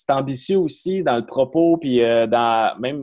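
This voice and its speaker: With a Quebec accent, this speaker talks at a moderate pace with ordinary pitch variation. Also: man. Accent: Québécois French. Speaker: film podcast host. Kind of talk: casual chat.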